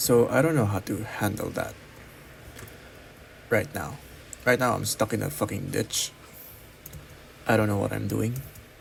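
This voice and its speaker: A man with a non-native accent speaks in a fairly low pitch with vocal fry. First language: not English. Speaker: college student. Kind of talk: personal vlog monologue. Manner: halting, many pauses.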